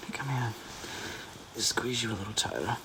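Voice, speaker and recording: A man's medium-pitched voice in a gentle tone, with ordinary pitch variation and noticeable background noise. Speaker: audio roleplay performer (boyfriend character). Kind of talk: soothing comfort audio roleplay. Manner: soft, gentle, reassuring.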